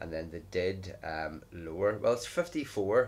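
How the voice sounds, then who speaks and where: At a fairly low pitch, a man speaks. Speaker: gaming vlogger. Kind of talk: casual gameplay commentary. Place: home room.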